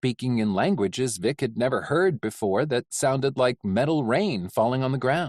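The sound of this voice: Lively intonation marks this clip. It is an unforced reading voice.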